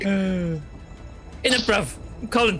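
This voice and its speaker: Over clear background music, a put-on character voice speaks at a middle pitch. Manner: swaggering.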